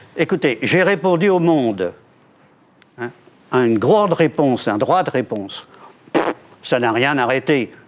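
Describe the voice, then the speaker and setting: A man speaks at a medium pitch with very wide pitch swings. He leaves long, frequent pauses. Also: fairly slow pace. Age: 70s. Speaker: political party leader. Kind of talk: TV interview.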